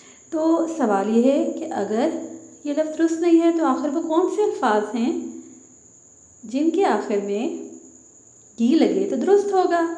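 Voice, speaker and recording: A woman's high-pitched voice makes very wide pitch swings, with audible room echo around it. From Pakistan. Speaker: teacher. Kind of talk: lesson for children.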